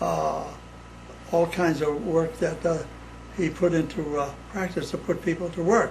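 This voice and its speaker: There is noticeable background noise. A man speaks at a fairly slow pace with long, frequent pauses. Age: 80s+. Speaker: son of Sicilian immigrants. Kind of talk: interview answer.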